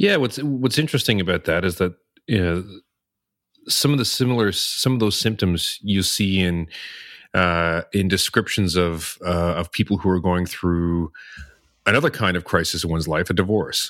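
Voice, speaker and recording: A man's very deep, low voice at a moderate pace with ordinary pitch variation, on a very clean recording with a silent background. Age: 40s. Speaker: podcast co-host, cognitive scientist. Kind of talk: casual chat. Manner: halting.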